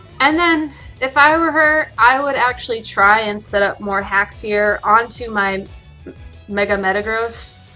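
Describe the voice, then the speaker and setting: With music in the background, a woman talks at a fairly slow pace in a fairly high pitch, her intonation lively. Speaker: competitive video game player. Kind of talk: casual gameplay commentary.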